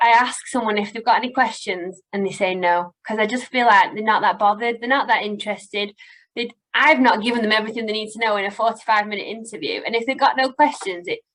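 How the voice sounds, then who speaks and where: Very fast and fairly high in pitch, a woman talks in a northern English accent with ordinary pitch variation. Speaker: recruitment company owner. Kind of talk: webinar advice talk. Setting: online webinar.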